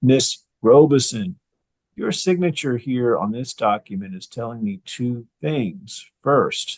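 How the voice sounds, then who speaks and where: Very slowly and with lively intonation, a man talks in big swings of loudness, the sound dry and close with no echo. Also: medium pitch for a man. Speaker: judge. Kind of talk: court hearing. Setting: video call. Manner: formal.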